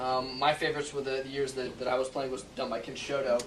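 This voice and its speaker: Amid noticeable background noise and audible room echo, a man speaks quickly at medium pitch with monotone, flat intonation. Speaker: security expert and hacking contest winner. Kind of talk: presentation. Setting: stage with audience. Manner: fast; halting.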